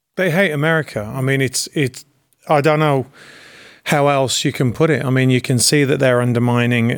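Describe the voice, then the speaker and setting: With an English accent, a man speaks at a fairly quick pace on a very clean recording with a silent background. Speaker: actor and producer. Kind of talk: casual political chat. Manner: halting.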